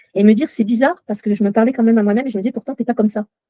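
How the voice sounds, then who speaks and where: A woman speaks with a dark, mellow tone. Her pitch is fairly high. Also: dry, close sound with no echo. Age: 60s. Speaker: coaching client sharing her story. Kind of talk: testimony. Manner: halting, with many fillers.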